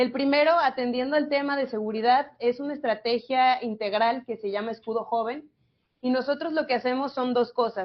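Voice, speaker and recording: A woman speaks with a high pitch. Her intonation stays fairly even. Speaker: youth government official. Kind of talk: panel talk. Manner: fast.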